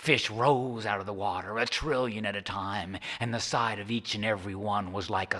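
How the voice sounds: The recording features a natural reading voice. It carries through the whole clip.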